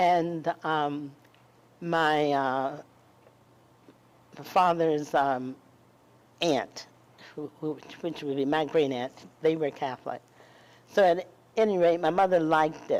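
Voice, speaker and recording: A woman with an American accent and a very deep, low pitch speaks at a very slow pace with fairly even intonation and long, frequent pauses. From US South, eastern North Carolina. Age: 80s+. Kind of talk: interview. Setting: live event with audience. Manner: halting, many fillers.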